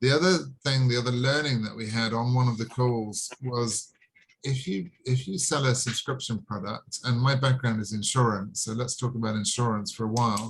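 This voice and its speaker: A man with a strong British accent and a somewhat breathy voice speaks at a moderate pace and medium pitch, with ordinary pitch variation. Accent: heavy British. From England. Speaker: online sales presenter. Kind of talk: video call sales presentation. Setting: video call.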